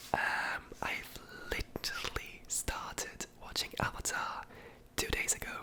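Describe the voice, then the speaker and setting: A whisper comes through at a fairly slow pace, with noticeable background noise behind it. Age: 20s. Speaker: ASMR creator, student of English philology. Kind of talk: ASMR Q&A, casual talk to camera.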